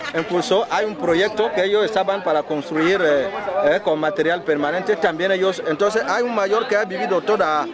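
A man with a high pitch speaks at a moderate pace with ordinary pitch variation and very even loudness. The sound is dry with no echo, with crowd noise in the background. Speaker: journalist. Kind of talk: news field report. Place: street.

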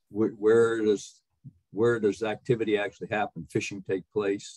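A man's fairly low, dark and mellow voice comes at a moderate pace, dry with no echo against a quiet background. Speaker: committee co-chair, retired admiral. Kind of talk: meeting remarks. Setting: video call. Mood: thoughtful, polite questioning. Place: home room. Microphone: video call.

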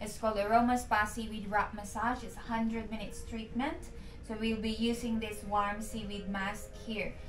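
At a moderate pace, a woman speaks with monotone, flat intonation over noticeable background noise. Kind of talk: sales presentation. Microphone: camera far.

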